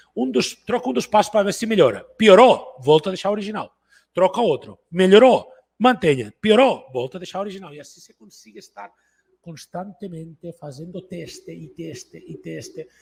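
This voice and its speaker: Speaking in a Catalan accent, a man with a high pitch uses lively intonation and big swings in loudness. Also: moderate pace. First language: Catalan (speaking Portuguese). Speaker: entrepreneur and business coach. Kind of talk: online business talk.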